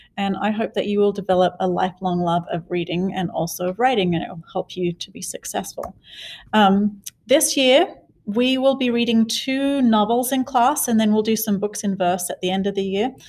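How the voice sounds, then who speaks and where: A woman with an Australian accent speaks at a medium pitch. Her pitch variation is ordinary. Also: moderate pace. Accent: Australian, noticeable. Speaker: middle school teacher. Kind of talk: class introduction video. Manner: casual, with fillers.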